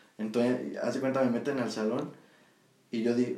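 A man talks at a medium pitch and moderate pace. His intonation is monotone, flat, and the room echo is audible. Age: 20s. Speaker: podcast co-host. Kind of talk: casual chat.

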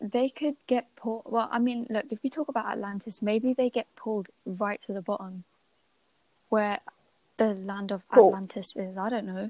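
A woman at a fairly high pitch with a dark, mellow tone, at a moderate pace, in a dry, close sound with no echo. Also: ordinary pitch variation. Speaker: podcast host. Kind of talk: casual chat. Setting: at home late at night.

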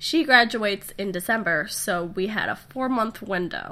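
A woman's nasal voice, medium in pitch with a bright, sharp tone, moves at a fairly slow pace with lively intonation.

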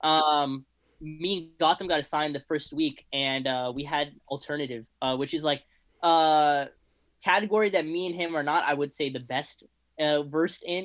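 This man talks in a Californian accent at a moderate pace. His voice is fairly high-pitched, with fairly even intonation. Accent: Californian American. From Los Angeles, San Fernando Valley. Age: 20s. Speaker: student, music club member. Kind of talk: casual chat.

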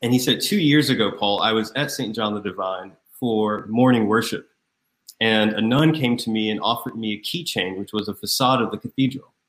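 At a fairly quick pace, a man with an American accent speaks in a normal speaking voice at medium pitch with ordinary pitch variation, on a very clean recording with a silent background. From US South, Raleigh, North Carolina. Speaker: deacon. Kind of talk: interview.

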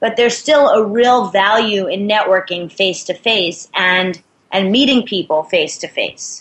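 Delivered at a fairly slow speed in an American accent, an unremarkable speaking voice shows ordinary pitch variation. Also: woman, medium pitch for a woman. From New York City. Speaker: sales and networking expert.

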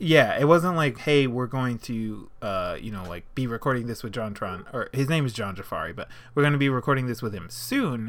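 An ordinary speaking voice from a man of medium pitch, fairly quick with hardly any pauses, lively intonation and big swings in loudness. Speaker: podcast co-host. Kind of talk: casual banter. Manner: laid-back, chatty.

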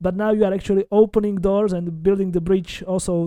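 Delivered at a fairly quick pace in a Slovak accent, the voice has a dark, mellow tone and monotone, flat intonation, with a dry, close sound and no echo. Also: man. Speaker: podcast host, genealogy researcher. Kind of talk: interview.

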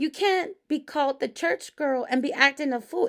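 Loud and animated, a woman speaks at a moderate pace. She has an American accent. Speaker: pastor and podcast host. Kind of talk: casual monologue podcast. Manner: animated, laughing often.

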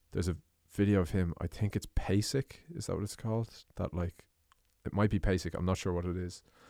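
The speaker has an Irish accent and a fairly quick pace. The sound is dry and close with no echo, very clean, with a silent background. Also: man, very deep, low pitch for a man. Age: 20s. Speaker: podcast host and drummer. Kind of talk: casual chat.

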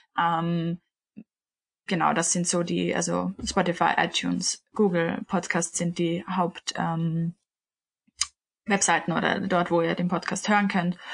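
Very slowly and with long, frequent pauses, a woman speaks in a fairly low, somewhat breathy voice, monotone and flat, at a very even loudness. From Austria, Vienna. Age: 20s. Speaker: podcast co-host, yoga teacher. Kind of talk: casual chat.

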